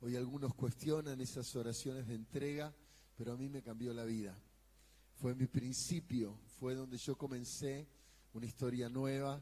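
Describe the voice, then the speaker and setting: A man's somewhat breathy voice at a medium pitch, dark and mellow in tone, with fairly even intonation at a moderate pace. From Argentina, Buenos Aires area. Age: 60s. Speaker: pastor and evangelist. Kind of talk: sermon.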